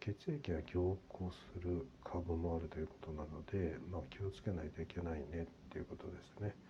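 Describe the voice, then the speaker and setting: A man talks at a moderate pace in a very deep, low-pitched voice that is somewhat breathy. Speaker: podcaster. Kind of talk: personal update monologue. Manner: halting with many fillers.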